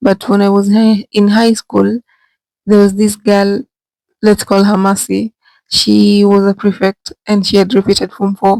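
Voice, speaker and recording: Whispering at a fairly slow pace, a woman keeps her loudness very even. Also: dry, close sound with no echo. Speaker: vlogger. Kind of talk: storytelling vlog. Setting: bathroom.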